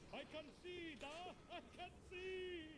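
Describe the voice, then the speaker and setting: A man speaks in a squeaky, put-on character voice. Loud background noise fills the recording. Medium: video game. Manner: jeering, laughing.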